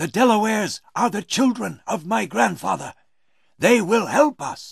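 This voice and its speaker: In a put-on character voice, a man speaks at a moderate pace and high pitch. The background is quiet. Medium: read story. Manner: quiet, steady.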